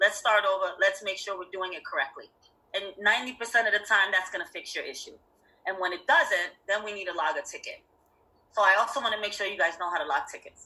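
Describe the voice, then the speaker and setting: Very fast and animated, a woman speaks at a medium pitch with lively intonation and big swings in loudness. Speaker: Salesforce instructor and system admin. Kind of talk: online class lecture. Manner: casual, animated.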